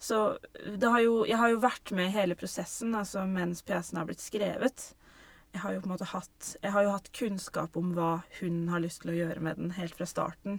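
A woman's medium-pitched voice with ordinary pitch variation, at a moderate pace. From Norway. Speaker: theatre director. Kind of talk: casual interview. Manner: halting.

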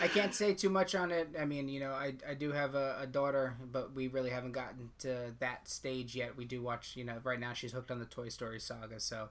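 A man with an ordinary speaking voice talks at a fairly quick pace, with hardly any pauses. His pitch is medium, with ordinary variation. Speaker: podcast host. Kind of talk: casual chat.

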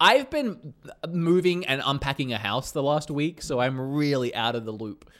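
Pitched fairly high, a man talks in a plain, everyday voice. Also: ordinary pitch variation, moderate pace. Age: 30s. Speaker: gaming podcast co-host. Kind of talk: casual chat. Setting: remote call, on green screen.

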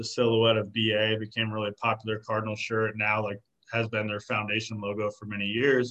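Moderately paced speech in an American accent comes out monotone, with flat intonation. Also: man. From Arizona. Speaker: clothing brand co-founder. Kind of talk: casual interview.

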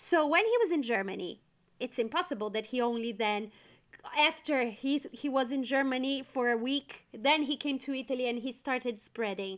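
A woman's high-pitched voice with a Portuguese accent. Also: ordinary pitch variation, moderate pace. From Brazil. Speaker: event planner. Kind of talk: casual interview.

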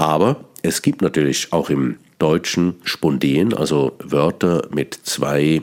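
Speech comes at a very slow pace with fairly even intonation amid noticeable background noise. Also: man. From Switzerland, Bern. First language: Swiss German (Bernese dialect) (speaking German). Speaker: cabaret artist and radio host. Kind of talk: radio monologue on language. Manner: halting, with repetitions.

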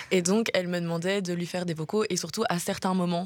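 Her pitch fairly low and her intonation fairly even, a woman with a plain, everyday voice speaks at a fairly quick pace. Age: 20s. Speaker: journalism student. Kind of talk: radio interview. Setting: studio.

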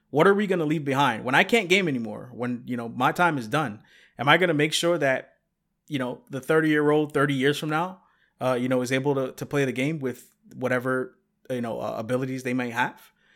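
A man talks at a fairly quick pace in a normal speaking voice, with a medium pitch and ordinary pitch variation. The recording is very clean, with a silent background. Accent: American. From New York. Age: 30s. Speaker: game accessibility advocate. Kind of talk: interview.

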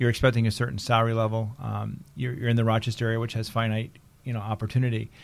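A man talks at a very fast pace in a monotone, flat intonation, captured in a very clean recording with a silent background. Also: medium pitch for a man. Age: 50s. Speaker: photo industry consultant. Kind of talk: casual interview chat. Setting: studio. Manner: fast talker.

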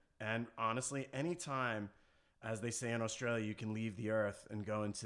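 In a very clean recording with a silent background, a man with an unremarkable speaking voice and an American accent speaks at a moderate pace and fairly low pitch. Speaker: surf clothing entrepreneur. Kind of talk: casual interview. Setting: studio.

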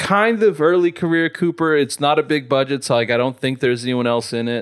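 A man with an American accent and a plain, everyday voice, fairly high in pitch, with lively intonation at a moderate pace, on a very clean recording with a silent background. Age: 30s. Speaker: radio host. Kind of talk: casual chat.

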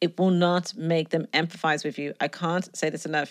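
The recording is very clean with a silent background, capturing a woman's fairly low pitch. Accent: Dublin. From Ireland, Dublin. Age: 30s. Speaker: podcast host, relationship advice writer. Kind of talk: solo podcast monologue. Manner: conversational.

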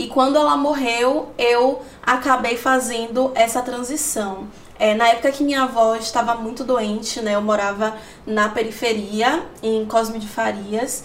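With audible room echo and noticeable background noise, a woman speaks at a fairly slow pace, her fairly high pitch held in fairly even intonation. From Salvador, Bahia, Brazil. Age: 20s. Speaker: digital content creator and journalist. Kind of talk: interview testimony.

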